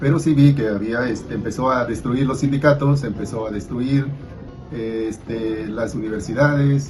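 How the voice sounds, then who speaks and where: A man speaks at a medium pitch with ordinary pitch variation. The recording carries audible room echo and noticeable background noise. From Peru, Cusco. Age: 60s. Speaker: interviewee. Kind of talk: interview testimony. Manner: hesitant with fillers.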